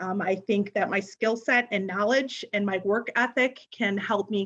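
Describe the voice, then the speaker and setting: Speaking in a US Midwestern accent, a woman keeps a moderate pace at medium pitch with fairly even intonation. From northern Illinois, Sycamore. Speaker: political candidate, county office clerk. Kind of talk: candidate forum statement.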